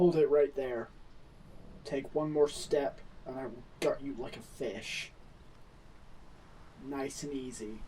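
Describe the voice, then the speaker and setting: Using a gruff put-on character voice with a fairly high pitch, a man speaks at a fairly slow pace with long, frequent pauses over clear background noise. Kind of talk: ASMR roleplay. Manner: tough, gruff; threatening at first, softening later.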